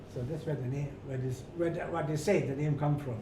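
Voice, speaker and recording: A man's fairly high voice at a moderate pace, with fairly even intonation, audible room echo and noticeable background noise. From rural Germany. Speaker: retired hotel manager. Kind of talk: interview. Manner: halting, repetitive.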